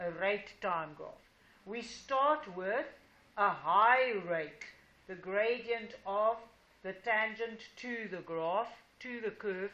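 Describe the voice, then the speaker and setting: Speaking at a very slow pace with long, frequent pauses, a woman shows ordinary pitch variation and big swings in loudness while audible room echo surrounds her. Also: fairly high pitch for a woman. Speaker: high school teacher. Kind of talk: classroom lesson. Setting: classroom with students. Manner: slow, deliberate.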